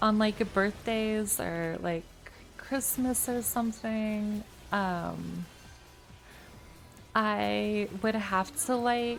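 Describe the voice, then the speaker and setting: Over music in the background, a soft-spoken woman with a fairly high pitch talks very slowly with fairly even intonation and long, frequent pauses. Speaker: video game streamer. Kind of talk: casual chat. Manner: vocally unemotive, mellow.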